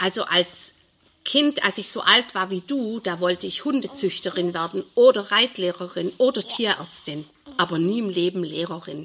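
With an unremarkable speaking voice, she speaks in a lively, varied intonation at medium pitch and a moderate tempo as a woman. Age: 60s. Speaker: primary school teacher. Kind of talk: interview.

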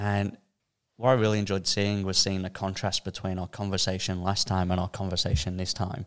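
Speaking monotone and flat at a fairly quick pace, a man with an Australian accent comes through on a very clean recording with a silent background. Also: fairly low pitch for a man. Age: 20s. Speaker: podcast co-host. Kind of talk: casual chat.

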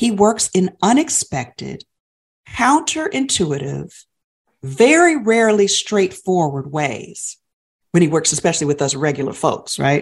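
A medium-pitched woman at a fairly slow pace, with very wide pitch swings. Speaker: podcast co-host. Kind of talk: faith-based podcast conversation.

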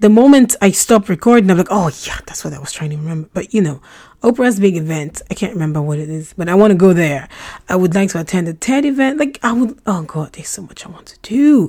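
Very fast speech in a dark, mellow tone rides very wide pitch swings and big swings in loudness. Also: woman, medium pitch for a woman. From Nigeria. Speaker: podcast host. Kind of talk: casual monologue.

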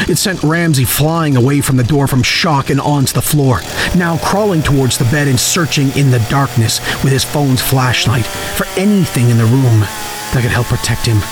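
A man at medium pitch keeps his loudness very even, with noticeable background noise behind him. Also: ordinary pitch variation, moderate pace. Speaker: horror storyteller. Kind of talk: horror narration, scripted story read aloud.

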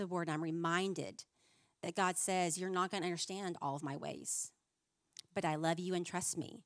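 A woman speaks at a fairly quick pace in a normal speaking voice. Her pitch is fairly low, and her intonation stays fairly even. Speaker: women's minister. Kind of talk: sermon. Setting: stage with audience.

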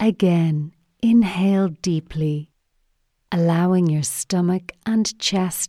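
In a very clean recording with a silent background and a dry, close sound with no echo, a woman speaks at a very slow pace. Her fairly low voice has a calm, soothing tone and a dark, mellow tone. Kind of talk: guided meditation. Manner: slow, calm, soothing instructions with pauses; gentle, even and measured.

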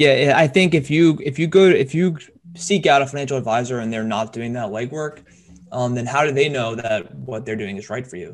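A plain, everyday voice moves at a fairly quick pace with lively intonation and big swings in loudness. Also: man, medium pitch for a man. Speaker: podcast host, financial advisor. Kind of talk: casual chat, financial talk.

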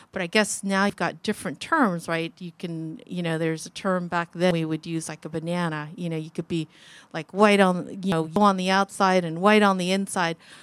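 A normal speaking voice from a woman with an American accent, fairly low in pitch, at a fairly quick pace, on a very clean recording with a silent background and a dry, close sound with no echo. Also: fairly even intonation. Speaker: guest speaker, refugee sharing her faith story. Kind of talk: personal testimony to a youth group.

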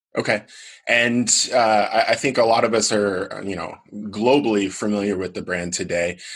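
This man has a plain, everyday voice, fairly low in pitch. He keeps a moderate pace and fairly even intonation. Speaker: podcast host. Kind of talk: interview.

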